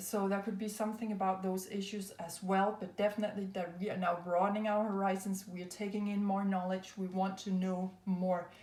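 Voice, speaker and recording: In a room with audible echo, a woman with a non-native accent speaks at a medium pitch with fairly even intonation. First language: not English. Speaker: tarot and astrology reader. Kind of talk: spiritual card reading. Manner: hesitant, many fillers.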